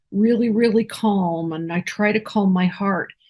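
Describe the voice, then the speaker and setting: Against a quiet background, a woman speaks somewhat breathily at a fairly slow pace with fairly even intonation. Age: 60s. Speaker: near-death experiencer. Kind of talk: interview testimony. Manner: halting.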